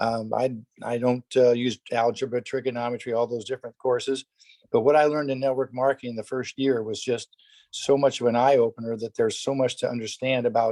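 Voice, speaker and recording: At a fairly quick pace, a man with a medium pitch and a dark, mellow tone speaks in a monotone, flat intonation, the sound dry and close with no echo. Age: 70s. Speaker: network marketing distributor, tennis pro. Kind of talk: testimony on a company conference call.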